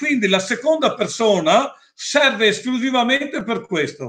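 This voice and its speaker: Lively intonation in a raised, projected voice with a bright, sharp tone, at a moderate pace over a quiet background. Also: man. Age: 60s. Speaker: stairlift equipment seller; presenter. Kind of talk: product presentation with Q&A.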